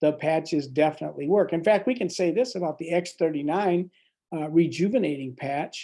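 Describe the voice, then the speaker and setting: This man's voice sits high in pitch, with a dark, mellow tone and ordinary pitch variation. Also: quiet background. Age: 60s. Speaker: medical doctor. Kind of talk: product presentation.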